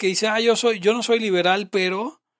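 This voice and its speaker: With a Mexican accent, a high-voiced man speaks at a fairly quick pace. The recording is very clean, with a silent background and a dry, close sound with no echo. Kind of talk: casual chat.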